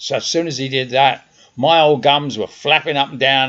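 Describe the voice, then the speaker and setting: A man with a South London accent speaks at a moderate pace. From South London, England. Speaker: podcaster. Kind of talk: personal monologue. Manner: conversational.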